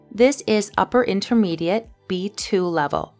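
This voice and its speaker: With music playing in the background, a woman talks at a fairly slow pace and medium pitch, with ordinary pitch variation. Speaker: English teacher. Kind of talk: lesson introduction to camera.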